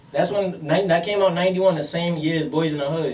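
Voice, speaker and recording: Amid noticeable background noise and audible room echo, a man with a fairly high pitch talks at a very fast pace. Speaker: podcast co-host. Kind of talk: heated debate. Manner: loud; animated.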